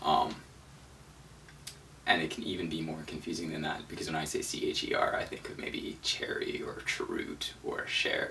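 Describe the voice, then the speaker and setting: A mumbling man amid noticeable background noise and audible room echo. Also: moderate pace. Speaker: vegan travel video maker, language tutorial. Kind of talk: tutorial.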